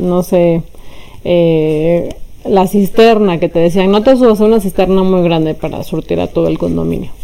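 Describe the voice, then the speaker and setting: Talking at a moderate pace, a woman has a plain, everyday voice, with a fairly low pitch and ordinary pitch variation. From Mexico City. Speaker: philosophy professor. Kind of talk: interview. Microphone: poor sound quality.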